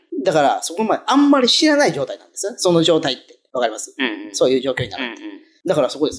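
With a Tosa accent, the speaker goes at a very fast pace. Loudness swings widely throughout. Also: man. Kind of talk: casual radio-style talk.

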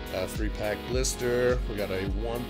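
Clear background music runs under speech delivered at a moderate pace. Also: man. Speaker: card opening vlogger. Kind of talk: casual vlog chat. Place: home room. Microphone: phone near.

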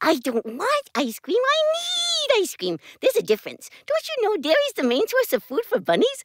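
In a put-on character voice with extremely high pitch, a woman speaks at a moderate pace with hardly any pauses. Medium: voice reel.

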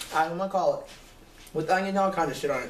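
Talking at a very fast pace, a man uses a high pitch with ordinary pitch variation, and the room echo is audible. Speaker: home food vlogger. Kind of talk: casual vlog chat. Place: home room. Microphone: webcam.

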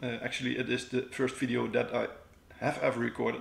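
A man talks at a fairly quick pace, with audible room echo. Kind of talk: casual vlog chat. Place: home room.

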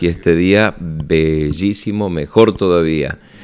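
Against a quiet background, a man talks in a very deep, low pitch with ordinary pitch variation. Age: 50s. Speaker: parish priest. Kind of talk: radio interview segment with parish announcements. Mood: friendly, calm. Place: office. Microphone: handheld.

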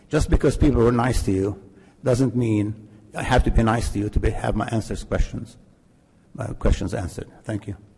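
This man has an American accent and a medium-pitched, somewhat breathy voice with a dark, mellow tone. He talks at a moderate pace with ordinary pitch variation. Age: 80s+. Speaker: resident speaking at public comment. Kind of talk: public comment at council meeting. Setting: village council meeting. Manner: emphatic.

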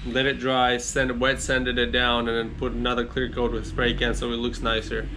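A man talks at a fairly quick clip over noticeable background noise. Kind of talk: casual vlog chat. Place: garage. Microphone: phone near.

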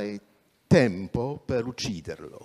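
Against a quiet background, a man with a non-native accent speaks at a very slow pace in a dark, mellow tone with lively intonation. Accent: non-native Italian. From Poland. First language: Polish (speaking Italian). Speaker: journalist and activist; journalist. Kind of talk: talk at public event. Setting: theatre stage, livestreamed. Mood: calm, serious. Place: stage. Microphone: handheld.

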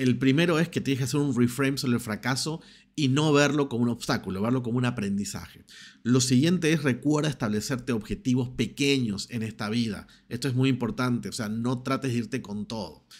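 A man with a medium pitch and ordinary pitch variation talks at a fairly quick pace. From Argentina. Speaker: personal development YouTuber. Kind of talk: motivational monologue to camera. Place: home room. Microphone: studio mic.

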